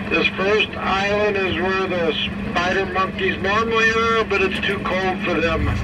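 A man speaks at a fairly slow pace while loud noise fills the background. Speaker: zoo train guide. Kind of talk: tour guide commentary. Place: train.

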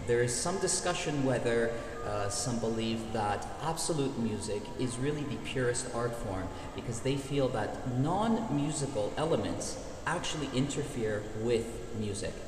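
A man talks at a moderate pace with ordinary pitch variation. Audible room echo and noticeable background noise surround his voice. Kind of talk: explanatory answer to viewer questions. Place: hall. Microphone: phone near.

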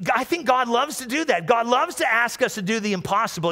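A man speaks in a raised, projected voice at a fairly quick pace, animated and warm in tone, with very wide pitch swings. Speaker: pastor. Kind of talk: sermon. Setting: church with live audience and livestream. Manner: animated, warm and conversational, with call-and-response; repeats phrases and stumbles slightly while speaking. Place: church. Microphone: headset.

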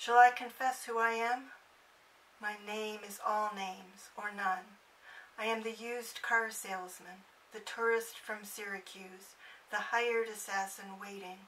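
Over noticeable background noise, a woman with a fairly high pitch speaks fairly slowly in a flat monotone, her loudness swinging widely. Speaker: poetry channel host reading poems. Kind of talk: poem reading, calm and measured, after casual chatty intro. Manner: casual, chatty, hesitant with many ums.

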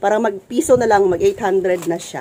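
This is a woman talking. Her pitch sits fairly high. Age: 40s. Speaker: vlogger and sari-sari store owner. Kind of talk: casual vlog, unboxing. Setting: at home store, standing. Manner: animated, laughing often.

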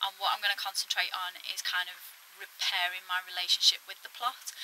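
Monotone, flat intonation over light background noise. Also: woman. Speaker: allotment vlogger. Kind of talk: casual vlog chat. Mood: reflective, a bit frustrated. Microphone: phone near.

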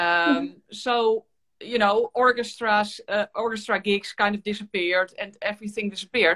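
Bright, sharp tone and fairly even intonation at a moderate pace over a quiet background. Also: woman. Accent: Dutch. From Netherlands. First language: Dutch. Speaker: violin teacher and YouTuber. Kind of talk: casual interview chat. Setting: video call livestream. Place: home room. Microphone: video call.

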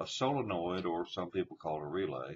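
Somewhat breathy speech at a moderate pace over light background noise. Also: man. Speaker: tractor. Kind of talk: tutorial.

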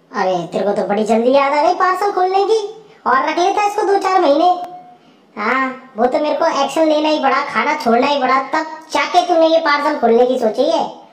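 A put-on character voice, female-sounding and high-pitched, at a fairly quick pace with a slight echo. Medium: voice reel. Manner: sarcastic, bossy, complaining.

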